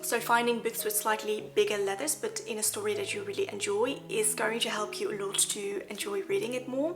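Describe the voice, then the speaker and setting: A woman with a fairly high pitch, very wide pitch swings, a fairly quick pace and hardly any pauses, with music in the background. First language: Dutch. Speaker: lifestyle vlogger. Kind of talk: casual talk to camera.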